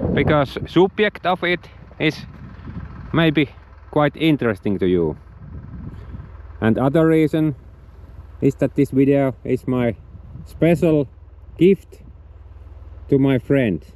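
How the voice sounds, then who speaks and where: In a Finnish accent, the speaker goes at a very slow pace with long, frequent pauses and very even loudness, over noticeable background noise. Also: man, fairly high pitch for a man. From Finland. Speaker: outdoor vlogger. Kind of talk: outdoor tutorial. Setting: outdoors on a frozen lake, then indoors. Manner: halting, hesitant non-native English.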